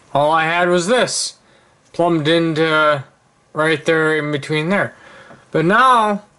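A man talks at a very slow pace with long, frequent pauses. His pitch is fairly high, with ordinary variation. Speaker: hobbyist steam engine maker. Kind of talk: tutorial; casual show-and-tell explanation. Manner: halting, with many ums. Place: home room. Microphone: phone near.

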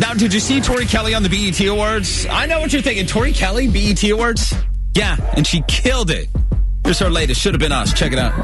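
A man rattles off words very fast in a dry sound without echo, clear music playing behind him. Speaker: radio DJ. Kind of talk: radio show host aircheck. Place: studio. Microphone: studio mic.

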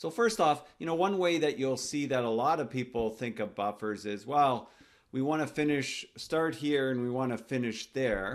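A man talks at a medium pitch. His intonation is lively. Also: moderate pace.

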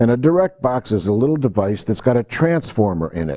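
With a quiet background behind him, a man's voice carries a dark, mellow tone. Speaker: audio recording instructor. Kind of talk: lecture. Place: classroom. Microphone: lapel.

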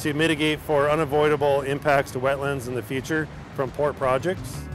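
Over noticeable background noise, a man talks at a moderate pace with fairly even intonation, and the sound is dry with no echo. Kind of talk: interview answer. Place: open country.

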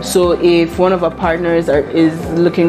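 Faint music plays in the background as a woman speaks at a fairly slow pace, fairly low in pitch, with monotone, flat intonation. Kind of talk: interview answer. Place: office.

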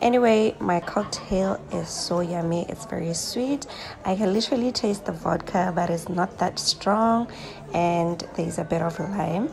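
Faint music plays in the background. A woman speaks at a fairly slow pace with ordinary pitch variation. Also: fairly low pitch for a woman. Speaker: travel vlogger. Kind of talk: casual vlog chat. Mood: pleased, relaxed. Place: cafe. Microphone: phone near.

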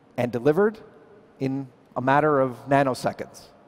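Here a man talks at a moderate pace. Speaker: presenter. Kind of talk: keynote presentation. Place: hall. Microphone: headset.

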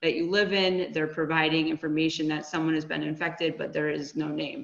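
A woman's plain, everyday voice, fairly low in pitch, with an American accent at a fairly quick pace. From Connecticut. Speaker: HR and staffing business owner. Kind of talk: webinar presentation. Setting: video call.

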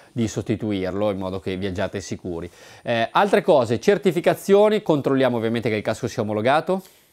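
A man's animated voice with very wide pitch swings at a very fast pace against a quiet background. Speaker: motorcycle video presenter. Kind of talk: on-location interview. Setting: motorcycle shop. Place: shop. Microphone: lapel.

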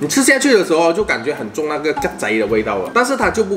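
Clear music plays in the background. A man talks over it. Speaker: food reviewer. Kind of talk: casual food review chat. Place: home room. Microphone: camera far.

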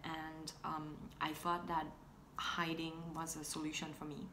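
Over noticeable background noise, a woman with a very deep, low pitch speaks at a fairly slow pace. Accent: non-native. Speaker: fashion and tech blogger. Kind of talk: casual talk to camera. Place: home room. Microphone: phone near.

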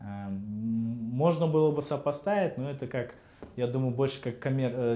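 At a fairly slow pace, a man speaks with ordinary pitch variation. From Kazakhstan. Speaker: head of a state housing and utilities agency; interview guest. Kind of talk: interview. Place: studio. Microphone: lapel.

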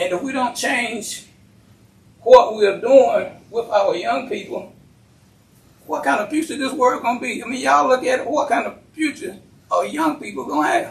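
Speaking fairly slowly with an American accent, a man uses lively intonation at an extremely high pitch. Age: 80s+. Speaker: county commissioner. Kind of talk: public meeting remarks.

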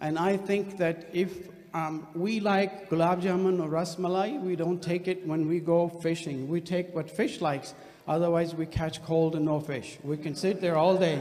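A man's high-pitched voice with fairly even intonation at a moderate pace. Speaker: guest lecturer. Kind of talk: lecture. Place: hall. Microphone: podium.

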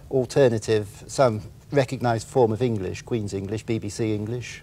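A man speaks at a moderate pace in a dark, mellow, somewhat breathy tone with ordinary pitch variation. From Wiltshire, England. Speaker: author. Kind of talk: interview answer. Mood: amused, relaxed. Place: studio.

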